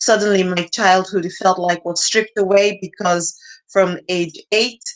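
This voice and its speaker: A woman with a Nigerian accent speaks at a fairly slow pace in a medium pitch, her intonation monotone and flat. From northeastern Nigeria. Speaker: nonprofit founder. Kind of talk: interview. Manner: halting.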